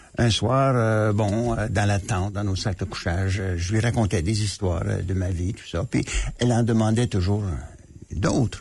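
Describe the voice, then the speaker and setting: Against a quiet background, a man with a somewhat breathy voice talks fairly slowly at a fairly low pitch with ordinary pitch variation. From Manitoba, Canada. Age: 80s+. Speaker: author and former diplomat. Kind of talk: radio interview. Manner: hesitant, many fillers.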